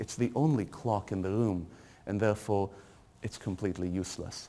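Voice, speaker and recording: His voice has a dark, mellow tone. A man speaks in a fairly low register. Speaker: university lecturer. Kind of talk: guided tour. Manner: hesitant with fillers.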